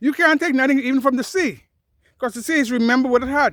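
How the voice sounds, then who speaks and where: The recording is very clean, with a silent background. A man speaks at an extremely high pitch with lively intonation. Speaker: nature educator and podcaster. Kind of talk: unscripted field narration to camera. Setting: outdoors, with thunder in the background. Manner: passionate, off-the-cuff.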